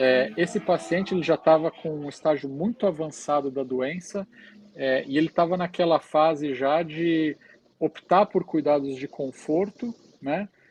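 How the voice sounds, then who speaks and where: In a dry, close sound with no echo, a man with a Brazilian accent and a fairly high pitch speaks at a fairly slow pace with ordinary pitch variation. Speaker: hospital chaplain. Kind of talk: podcast interview, storytelling. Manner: hesitant, many fillers.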